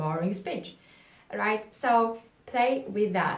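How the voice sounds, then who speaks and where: Noticeable background noise and audible room echo surround the speaker. The voice has ordinary pitch variation and a non-native accent. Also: woman. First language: not English. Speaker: public speaking coach. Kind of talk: tutorial. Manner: halting.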